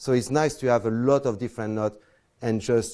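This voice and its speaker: Talking very fast with a French accent, a man keeps a medium pitch and ordinary pitch variation. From France. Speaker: close-up magician. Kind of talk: lecture. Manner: halting.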